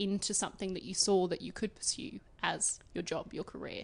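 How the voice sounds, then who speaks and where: Speaking at a fairly quick pace with an Australian accent, a woman uses a medium pitch and ordinary pitch variation. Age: 20s. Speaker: podcast host and beauty journalist. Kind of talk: casual interview. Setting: guest's apartment.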